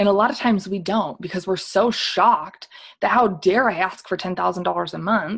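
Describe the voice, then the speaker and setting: A woman speaks in an animated, somewhat breathy tone at a fairly quick pace. Her intonation is lively, and the background is quiet. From Michigan (Flint). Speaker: network marketing leader. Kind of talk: motivational talk. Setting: video call.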